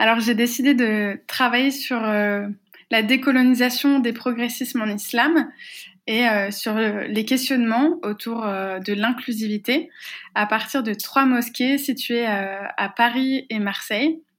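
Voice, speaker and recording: A woman at a very slow pace and fairly high pitch with ordinary variation, on a very clean recording with a silent background. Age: 20s. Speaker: activist and researcher. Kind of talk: interview. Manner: hesitant, frequent fillers and repetitions.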